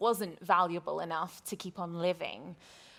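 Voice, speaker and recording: A woman speaks with a British accent. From Britain. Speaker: interviewer. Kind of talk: interview.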